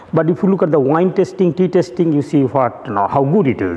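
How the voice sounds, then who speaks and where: Noticeable background noise runs under the audio. A man is the one talking. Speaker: professor. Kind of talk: lecture.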